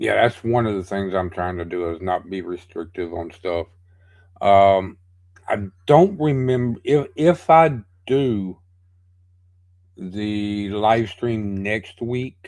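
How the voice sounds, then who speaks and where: Very slow pace from a man, fairly low in pitch, lively intonation, long and frequent pauses. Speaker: livestream host running song challenges. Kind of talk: casual livestream chat. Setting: livestream. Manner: halting, many fillers and restarts.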